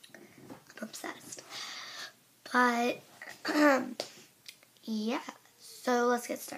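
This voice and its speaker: The speech includes long, frequent pauses. Noticeable background noise runs underneath. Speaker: beauty product reviewer. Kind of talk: product review vlog. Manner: casual, halting with fillers.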